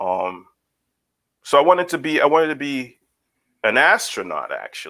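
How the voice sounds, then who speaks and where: A man with a Guyanese accent speaks at a moderate pace. He makes long, frequent pauses. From Guyana. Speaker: licensed professional counselor. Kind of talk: podcast interview. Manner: halting, many fillers.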